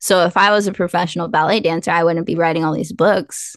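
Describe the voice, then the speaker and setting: Against a quiet background, a woman uses a normal speaking voice, fairly low in pitch, at a fairly quick pace with fairly even intonation. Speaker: author and podcast co-host. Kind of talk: casual interview chat. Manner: casual, conversational.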